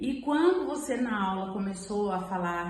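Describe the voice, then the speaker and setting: A woman speaks at a moderate pace with lively intonation, with audible room echo and noticeable background noise. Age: 60s. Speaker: client giving testimony. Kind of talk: testimony.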